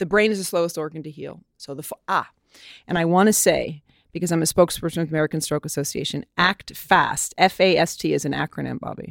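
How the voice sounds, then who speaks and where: A woman's very fast, animated delivery at a fairly low pitch, with vocal fry and big swings in loudness, in a dry, close sound with no echo on a very clean recording with a silent background. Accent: New York. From New York City. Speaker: model and actress. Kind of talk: interview conversation.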